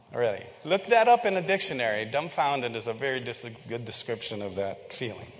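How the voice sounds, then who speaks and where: A man with medium pitch talks at a fairly quick pace with lively intonation and hardly any pauses. Background noise is noticeable. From Philippines. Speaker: church member. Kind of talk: sermon. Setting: church. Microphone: echo.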